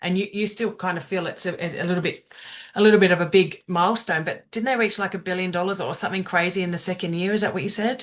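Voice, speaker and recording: A woman speaks at a very fast pace in a medium-pitched voice. Her tone is enthusiastic. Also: quiet background. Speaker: network marketing presenter. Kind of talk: business presentation on video call. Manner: fast when excited.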